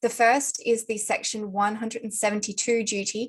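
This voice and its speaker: Speaking at a fairly quick pace, a woman with an Australian accent has a fairly high pitch. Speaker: lawyer. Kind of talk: conference panel talk. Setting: video call. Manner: formal.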